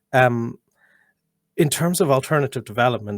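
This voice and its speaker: In an Irish accent, the speaker moves at a fairly quick pace with ordinary pitch variation, and the sound is dry and close with no echo. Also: man. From Ireland. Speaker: policy researcher. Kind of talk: panel discussion. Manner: halting, many repetitions.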